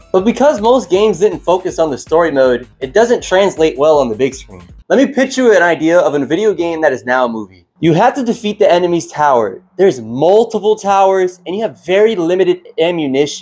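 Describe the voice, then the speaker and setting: A man speaks at a fairly quick pace with hardly any pauses and a high pitch, his voice making very wide pitch swings. Music plays in the background. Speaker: video essayist. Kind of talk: scripted commentary.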